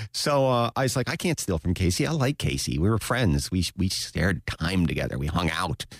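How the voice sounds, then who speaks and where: Very deep and low in pitch with vocal fry, a man's voice moves in very wide pitch swings at very even loudness, recorded very cleanly with a silent background and a dry, close sound with no echo. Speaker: artist and maker. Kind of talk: casual chat. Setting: radio studio.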